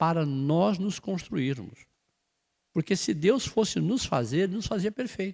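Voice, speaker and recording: With very wide pitch swings, a man talks at a fairly slow pace in a fairly high pitch. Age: 70s. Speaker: spiritist study leader. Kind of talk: religious study talk. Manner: conversational.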